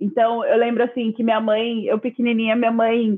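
Delivery is flat and monotone. It moves along at a moderate speed. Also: woman. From Brazil, Campinas, São Paulo. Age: 20s. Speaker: designer and content creator. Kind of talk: casual interview chat. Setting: video call live stream.

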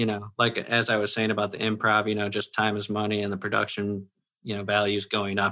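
A man with an American accent speaks at a fairly quick pace in a bright, sharp tone. The background is quiet. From Michigan, Grand Rapids. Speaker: actor and comedian. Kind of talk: casual interview chat.

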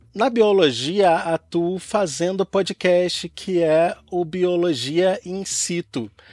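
This man speaks in a Carioca accent. His pace is very slow. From Rio de Janeiro, Brazil. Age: 30s. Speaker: science communicator, podcaster. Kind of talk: casual interview.

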